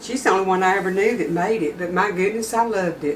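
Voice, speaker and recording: The speaker has a Texas accent, with audible room echo. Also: woman. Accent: Southern US (Texas). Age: 60s. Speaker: home cooking channel host. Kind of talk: cooking tutorial. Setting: home kitchen. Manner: casual, folksy.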